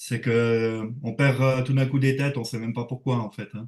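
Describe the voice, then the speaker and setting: Speaking at a fairly quick pace with a Swiss accent, a man keeps a medium pitch and fairly even intonation. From Switzerland. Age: 40s. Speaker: reef aquarium hobbyist. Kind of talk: casual interview. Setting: livestream.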